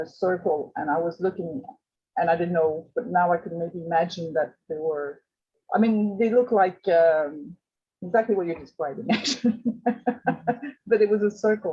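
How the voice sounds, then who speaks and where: Somewhat breathy and fairly low in pitch, a woman speaks at a moderate pace with a Quebec accent and ordinary pitch variation. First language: French. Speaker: group discussion participant. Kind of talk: group video chat discussion.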